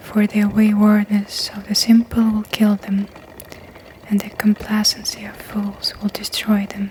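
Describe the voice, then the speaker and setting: Someone soft-spoken talks at a very slow pace. Noticeable background noise runs underneath. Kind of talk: ASMR scripture reading.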